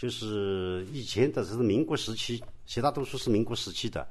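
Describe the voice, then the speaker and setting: With a fairly low pitch, a man speaks at a moderate tempo. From Yangshan, Wuxi, Jiangsu. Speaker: local historian and tour guide. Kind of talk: guided walking tour. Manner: halting, many fillers.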